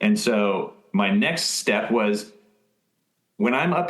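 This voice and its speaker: Audible room echo surrounds a man speaking in an American accent. His pitch swings very widely. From Maryland, US. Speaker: upholsterer, business owner. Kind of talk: podcast interview. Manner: halting, many fillers and repetitions.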